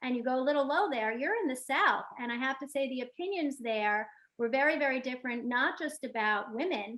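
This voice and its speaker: A woman with a New York accent speaks at a fairly quick pace. Her voice is high, with ordinary pitch variation. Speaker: real estate agent. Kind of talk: panel discussion.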